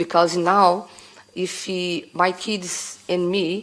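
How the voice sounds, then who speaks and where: A woman speaks with a Brazilian accent and fairly even intonation. Noticeable background noise is present. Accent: Brazilian, non-native English. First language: Portuguese. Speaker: bar owner applying for a licence. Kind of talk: testimony at licensing hearing. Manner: halting.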